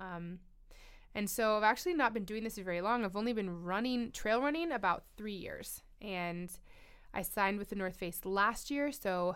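An unremarkable speaking voice with a General American accent, at a moderate pace with ordinary pitch variation. The recording is very clean, with a silent background. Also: woman. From Colorado. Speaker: trail runner and mountain athlete. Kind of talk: casual interview. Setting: studio.

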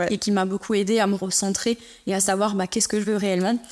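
This woman's voice sits at a medium pitch. The intonation stays monotone and flat throughout. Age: 30s. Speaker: beauty business founder. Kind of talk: interview. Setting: studio.

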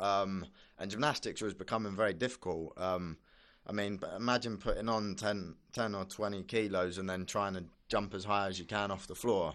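With fairly even intonation and a fairly low pitch, a man talks at a moderate pace against a quiet background. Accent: British. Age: 20s. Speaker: Olympic gymnast. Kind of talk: casual interview.

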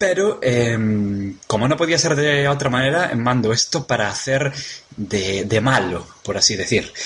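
A man's medium-pitched voice with a Galician accent, at a fairly slow pace, over noticeable background noise. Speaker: podcaster. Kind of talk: recorded audio message.

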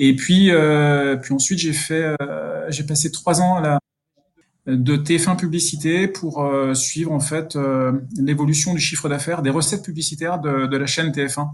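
Fairly even intonation at a fairly slow pace. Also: man, fairly high pitch for a man. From Burgundy, France (Dijon area). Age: 50s. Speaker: sports sponsorship manager. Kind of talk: interview. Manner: hesitant, many repetitions.

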